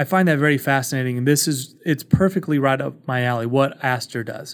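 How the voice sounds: With ordinary pitch variation, the words come at a fairly quick pace. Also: man, medium pitch for a man.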